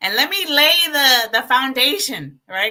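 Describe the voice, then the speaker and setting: Raised and projected, a woman's high, animated voice swings very widely in pitch at a fairly slow pace. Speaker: livestream host. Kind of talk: livestream talk. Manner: loud when passionate.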